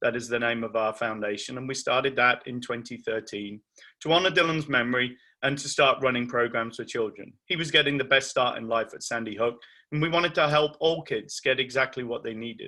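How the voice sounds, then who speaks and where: A man with a medium pitch and an English accent, at a fairly quick pace. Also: ordinary pitch variation. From England. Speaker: charity founder, bereaved parent. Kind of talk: talk to parents.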